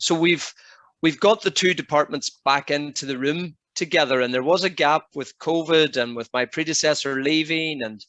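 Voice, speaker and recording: A man's bright, sharp tone at a moderate pace, with ordinary pitch variation and a dry, close sound with no echo. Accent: Northern Irish. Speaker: housing and health lead, occupational therapy. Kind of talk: webinar presentation.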